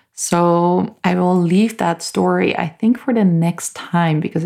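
With an American accent, a woman speaks fairly slowly at a fairly low pitch. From US South (bible belt). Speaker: podcast host, healer and crystal artist. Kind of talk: solo monologue, personal story.

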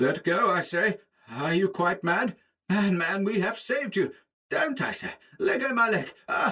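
Putting on a character voice, a man talks high for a man, with a bright, sharp tone, a slightly husky edge and lively intonation. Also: fairly slow pace.

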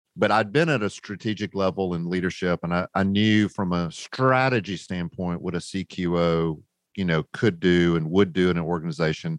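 A man with a North Carolina accent speaks at a moderate pace with hardly any pauses, his pitch very deep and low with ordinary variation. The sound is dry and close with no echo, against a quiet background. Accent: Southern US (North Carolina). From US South, rural North Carolina. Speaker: business founder. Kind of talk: interview storytelling.

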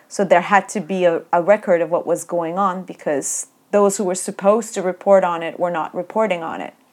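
In a Turkish accent, a woman at medium pitch speaks at a fairly quick pace with monotone, flat intonation and hardly any pauses, on a very clean recording with a silent background. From Turkey. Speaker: academic researcher. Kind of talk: interview. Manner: hesitant with fillers.

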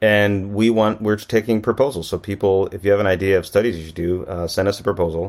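A very fast, fairly low man's voice with an American accent, fairly even intonation and hardly any pauses, in a very clean recording with a silent background. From US Midwest, Racine, Wisconsin. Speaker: geneticist and professor. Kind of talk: interview.

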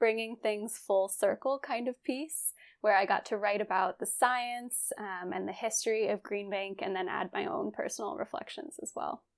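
An unremarkable speaking voice from a woman, fairly high in pitch, with ordinary pitch variation at a moderate pace. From West Virginia. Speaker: astronomy communications specialist. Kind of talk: interview.

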